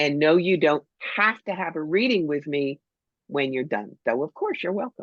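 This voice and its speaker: A woman's very deep, low voice at a moderate pace, animated in tone with lively intonation, long and frequent pauses, and a dry, close sound with no echo. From New Jersey, Cherry Hill. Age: 60s. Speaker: psychic medium. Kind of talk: interview.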